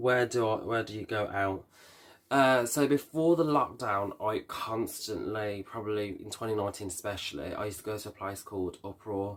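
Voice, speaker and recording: The recording is very clean, with a silent background. The speaker has a Birmingham accent. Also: man. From Birmingham, England. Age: 20s. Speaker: vlogger and hairdresser. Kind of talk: casual Q&A vlog. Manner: hesitant, many fillers.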